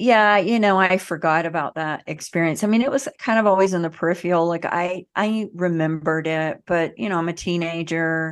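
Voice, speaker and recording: A woman with a Southern US accent, fairly low pitch, ordinary pitch variation, and a quiet background. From US South. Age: 40s. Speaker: emotional healing educator. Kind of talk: interview.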